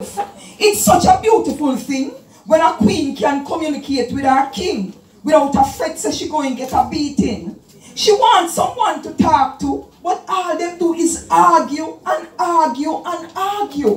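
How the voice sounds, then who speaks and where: A woman's high voice with a Jamaican accent at a fairly slow pace, with audible room echo and music in the background. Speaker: dub poet. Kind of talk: dub poetry performance. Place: hall.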